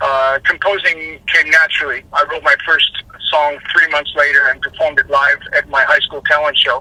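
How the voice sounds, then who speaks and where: A man speaks at a moderate pace with a Californian accent. The sound is dry and close, with no echo. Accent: Californian American. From Los Angeles, US. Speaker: rock singer. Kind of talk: interview.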